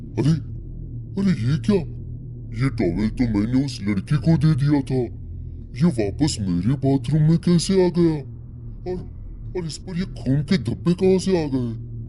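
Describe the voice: In a cartoonish character voice with low-to-middle pitch, the speaker moves at a moderate pace with long, frequent pauses over clear background noise.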